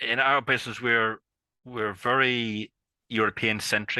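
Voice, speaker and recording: At a fairly slow pace, a man with a strong Irish accent speaks at a medium pitch with a bright, sharp tone and fairly even intonation, the sound dry and close with no echo against a quiet background. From Ireland. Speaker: IP consultant. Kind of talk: podcast interview. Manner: hesitant, many fillers and repetitions.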